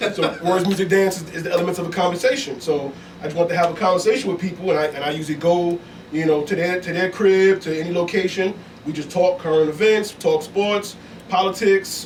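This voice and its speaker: Very fast pace and fairly even intonation come from a man with a high pitch. Noticeable background noise runs underneath. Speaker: podcast host guest. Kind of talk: casual chat.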